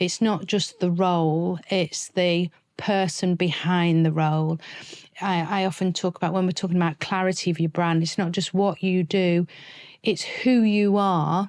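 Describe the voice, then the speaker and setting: A woman talks in a fairly low pitch with monotone, flat intonation. Her loudness stays very even. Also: moderate pace. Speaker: personal branding coach. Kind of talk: podcast interview.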